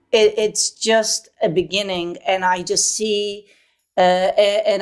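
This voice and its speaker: A woman speaks at a very slow pace with a Polish accent. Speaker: voice actress. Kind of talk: interview. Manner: halting.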